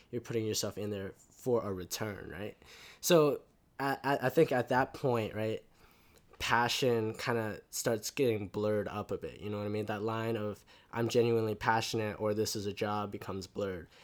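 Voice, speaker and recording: A man with an American accent speaks in a normal speaking voice at a moderate pace, his pitch fairly low and his intonation fairly even, on a very clean recording with a silent background. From Canada, Vancouver, after US and China. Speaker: university student. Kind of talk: casual interview. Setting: face to face in person.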